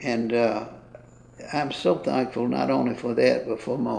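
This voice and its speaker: In a Mississippi accent, a man talks fairly slowly at a medium pitch, with audible room echo around him. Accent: Southern US (Mississippi). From US South, Mississippi (Lexington). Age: 80s+. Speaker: retired banker. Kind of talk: interview. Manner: halting.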